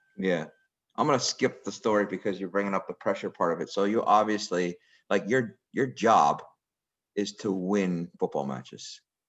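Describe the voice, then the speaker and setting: This is an unremarkable speaking voice from a man with a fairly low pitch. He talks at a moderate pace with ordinary pitch variation. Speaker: girls soccer technical director. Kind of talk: interview questions.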